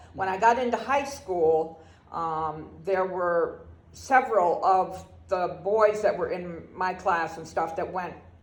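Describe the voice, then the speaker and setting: Fairly slow speech in an American accent, with audible room echo. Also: woman. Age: 70s. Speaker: grandparent interviewee. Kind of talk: oral history interview.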